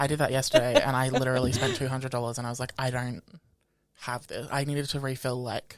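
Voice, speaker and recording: With an Australian accent, a man talks at a very fast pace in a monotone, flat intonation. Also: medium pitch for a man. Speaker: podcast co-host. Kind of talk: casual chat.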